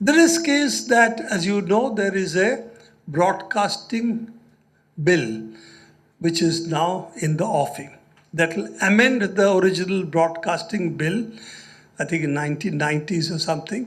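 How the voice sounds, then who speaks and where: Lively in intonation and high in pitch, a man speaks fairly slowly with audible room echo. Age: 70s. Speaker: journalist and speaker. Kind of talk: lecture.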